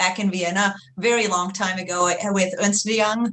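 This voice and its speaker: Fairly quick speech in an Austrian accent, with fairly even intonation. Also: woman. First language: German. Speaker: HR research executive. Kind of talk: webinar interview. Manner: hesitant, many fillers.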